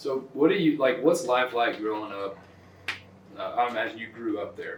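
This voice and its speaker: A man with a Texas accent, medium in pitch, lively in intonation, at a moderate pace, with big swings in loudness, audible room echo and noticeable background noise. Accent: Texas Southern US. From Southeast Texas. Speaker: podcast host. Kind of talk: casual chat.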